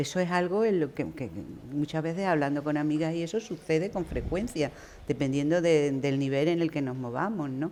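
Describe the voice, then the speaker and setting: A woman speaks at a moderate pace with a very deep, low pitch and a dark, mellow tone. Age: 60s. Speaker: writer. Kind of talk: panel discussion. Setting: university hall with live audience.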